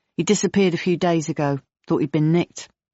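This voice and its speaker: In a put-on character voice, a woman growls at a very fast pace with fairly low pitch. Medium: read story. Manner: gruff, terse, casual slang.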